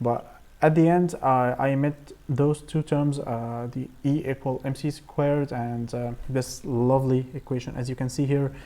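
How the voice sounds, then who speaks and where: A man with an Arabic accent speaks at a moderate pace, his pitch medium. His tone is dark and mellow, and his intonation monotone and flat. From Egypt. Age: 20s. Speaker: AI engineer and researcher. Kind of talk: presentation. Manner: halting, many fillers and repetitions.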